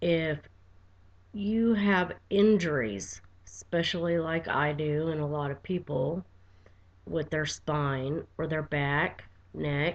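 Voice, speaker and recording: A soft-spoken woman's very deep, low voice, with lively intonation and a very slow pace. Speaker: vlogger with chronic pain. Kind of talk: personal video diary. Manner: quiet, soft-spoken.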